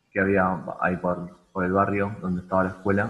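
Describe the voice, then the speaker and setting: A man with a fairly low pitch, a bright, sharp tone, a Rioplatense accent and a fairly quick pace. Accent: Argentine Spanish (rioplatense). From Argentina. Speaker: rock musician. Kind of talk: casual chat. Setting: video call.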